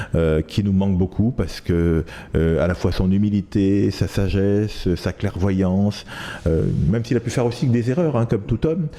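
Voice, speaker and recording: Amid noticeable background noise, the speaker keeps a moderate pace, ordinary pitch variation and very even loudness. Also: man, fairly low pitch for a man. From Ivory Coast (Abidjan), then France from age 13. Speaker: journalist and author. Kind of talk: interview. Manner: hesitant, many fillers.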